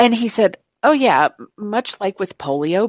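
A woman's voice with very wide pitch swings, in dry, close sound with no echo and a quiet background. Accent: American. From Florida, Tampa Bay area. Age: 50s. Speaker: caller. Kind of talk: call-in conversation.

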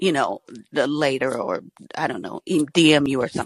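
A woman's very deep, low voice with an American accent, at a fairly slow pace with ordinary pitch variation. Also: dry, close sound with no echo. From Georgia, US South. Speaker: caller. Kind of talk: call-in show.

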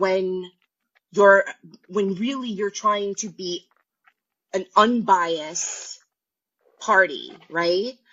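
The loudness swings widely and the pace is very slow. Long pauses come often, with ordinary pitch variation. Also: woman, medium pitch for a woman. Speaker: caller. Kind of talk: casual chat. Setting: phone call.

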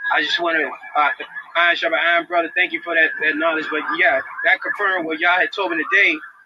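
Amid noticeable background noise, a man races along at a very fast pace. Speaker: caller. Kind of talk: testimony-style Bible comment. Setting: phone call.

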